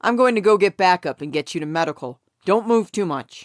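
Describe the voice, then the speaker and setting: In a put-on character voice, the speaker growls at a middle pitch and a fairly quick pace, on a very clean recording with a silent background. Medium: read story. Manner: curt, authoritative.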